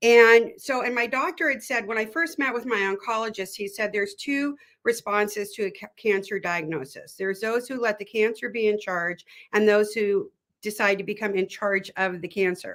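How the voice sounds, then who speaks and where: Here a woman uses a plain, everyday voice, fairly high in pitch with ordinary variation, at a moderate pace. The recording is very clean with a silent background. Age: 60s. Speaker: spiritual guide and former therapist. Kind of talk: interview about personal health journey. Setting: live stream podcast.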